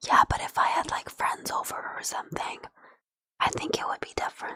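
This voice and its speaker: The speaker whispers at a fairly quick pace. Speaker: streamer. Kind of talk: casual chat. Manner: whispering. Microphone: too quiet.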